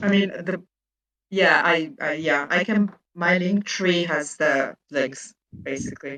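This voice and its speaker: Her tone is bright and sharp. The woman's pitch varies in an ordinary way. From France and Hungary. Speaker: indie author. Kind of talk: casual chat.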